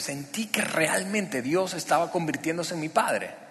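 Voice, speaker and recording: Through noticeable background noise, a man speaks at a moderate pace in a high pitch. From Venezuela, Barquisimeto. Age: 40s. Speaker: pastor. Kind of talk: sermon testimony. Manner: halting, many repetitions and fillers.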